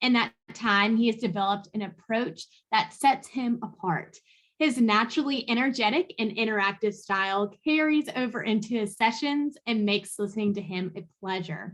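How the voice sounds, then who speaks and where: In a normal speaking voice, a woman speaks at a moderate pace with a fairly high pitch and ordinary pitch variation. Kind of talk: conference host introduction.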